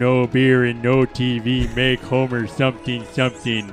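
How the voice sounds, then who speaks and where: Using a put-on character voice, a man talks at a moderate pace and medium pitch. Music plays clearly in the background. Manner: comic, dopey.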